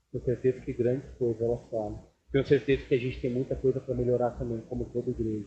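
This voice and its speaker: Vocal fry runs through a dark, mellow tone delivered at a very fast pace with monotone, flat intonation. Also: man, medium pitch for a man. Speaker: pastor. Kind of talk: sermon. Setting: church service with congregation.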